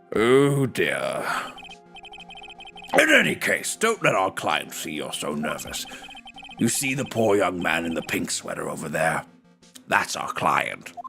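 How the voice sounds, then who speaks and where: With clear music in the background, a man does a put-on character voice at a fairly slow pace, leaving long, frequent pauses. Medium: virtual streamer. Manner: fussy, pompous.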